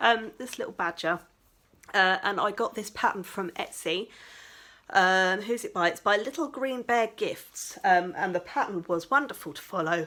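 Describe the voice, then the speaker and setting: Bright and sharp in tone, a woman with an English accent speaks at a fairly high pitch. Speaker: crafting vlogger. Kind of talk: casual vlog chat. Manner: animated.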